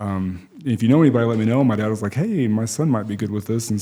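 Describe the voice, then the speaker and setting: The speaker is a man with an American accent. His tone is dark and mellow. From West Texas. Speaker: school principal. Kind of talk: podcast interview. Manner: halting.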